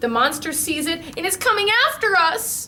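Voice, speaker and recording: The speaker uses a put-on character voice with very wide pitch swings. The pace is moderate. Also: woman, extremely high pitch for a woman. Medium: read story.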